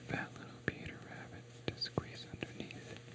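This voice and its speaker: Whispering and soft-spoken, a man talks at a fairly slow pace over noticeable background noise. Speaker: asmr creator. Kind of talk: asmr bedtime story reading. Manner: soft-spoken, whispered.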